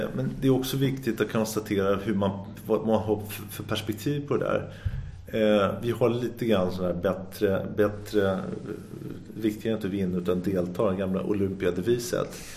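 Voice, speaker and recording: Audible room echo surrounds a man speaking at a moderate pace. His pitch is fairly low, with ordinary pitch variation. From Sweden, Sundbyberg. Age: 50s. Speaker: entrepreneur. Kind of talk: interview. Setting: office. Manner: energetic; halting.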